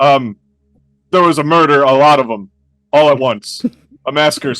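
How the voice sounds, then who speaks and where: This is a man using a put-on character voice. His pitch sits fairly high. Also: moderate pace, ordinary pitch variation. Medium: actual play. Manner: hesitant, halting.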